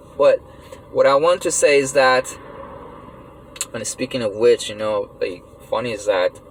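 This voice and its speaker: A man keeps a moderate pace but breaks it with long, frequent pauses, with noticeable background noise behind him. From Iran. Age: 30s. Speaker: vlogger. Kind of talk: personal monologue rant. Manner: halting, many fillers; animated.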